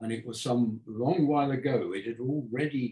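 This man speaks at a moderate pace and a medium pitch, with ordinary pitch variation and a somewhat breathy voice. Audible room echo sits over a quiet background. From England, Devonport (Plymouth); England. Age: 80s+. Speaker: architect. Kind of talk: public talk conversation. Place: home room. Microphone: camera far.

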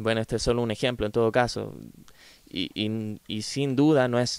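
At a medium pitch, this man's speech moves along at a moderate pace. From Chile. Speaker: philosophy podcaster. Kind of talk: solo lecture-style commentary. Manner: hesitant, many fillers.

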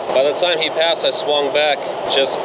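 A man talks at a fairly quick pace. Loud noise fills the background. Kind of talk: casual vlog chat. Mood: frustrated, annoyed. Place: street. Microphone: phone near.

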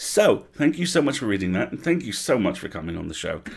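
Talking fast, a man with a fairly low pitch uses big pitch swings and vocal fry.

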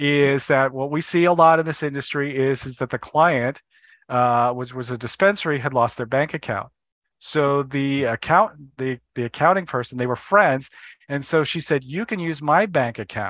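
With a quiet background and a dry sound with no echo, a man talks at a moderate pace in a fairly high pitch with ordinary pitch variation. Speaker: accountant. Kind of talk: casual interview. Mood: candid, personal storytelling. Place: home room. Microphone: headset.

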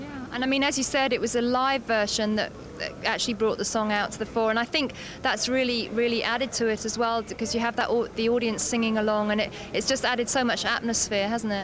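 A woman is talking with fairly even intonation. Her pitch sits fairly high. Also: fairly quick pace.

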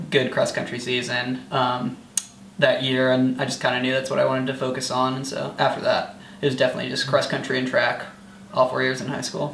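Here a man with an American accent speaks at a fairly quick pace. There is audible room echo and light background noise. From US Midwest (rural eastern Iowa). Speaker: college track athlete. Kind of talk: casual interview. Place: home room. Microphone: camera far.

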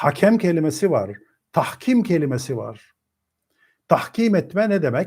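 A man speaks at a fairly slow pace with long, frequent pauses. His high pitch moves in very wide swings, captured in a very clean recording with a silent background. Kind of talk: lecture.

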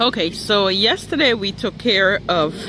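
There is noticeable background noise as a man speaks in a high pitch, with a dry sound and no echo. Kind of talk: casual vlog chat. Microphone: phone near.

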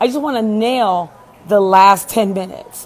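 A woman talks at a moderate pace. Her pitch variation is ordinary. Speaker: speaker coach. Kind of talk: casual vlog storytelling. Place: home room. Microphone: earbuds.

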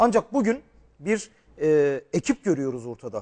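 Very wide pitch swings mark this man's high-pitched voice. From Turkey, Şanlıurfa; Turkey. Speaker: TV presenter and journalist; TV presenter, journalist. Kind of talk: TV political interview. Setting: TV studio, live broadcast. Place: studio.

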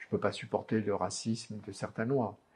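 A man with a fairly low, somewhat breathy voice talks at a fairly slow pace with fairly even intonation. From Oran, Algeria. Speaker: journalist. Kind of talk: interview answer. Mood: animated, firm convictions. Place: studio. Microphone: lapel.

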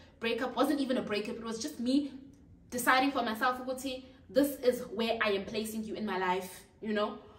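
A woman's fairly high voice carries ordinary pitch variation, with audible room echo around it. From South Africa, Durban; South Africa. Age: 20s. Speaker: YouTuber; youtuber. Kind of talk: casual vlog chat. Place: home room. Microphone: camera far.

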